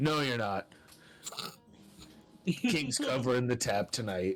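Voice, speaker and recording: A man in a put-on character voice speaks at a fairly slow pace with a medium pitch. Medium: actual play. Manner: stern, gruff.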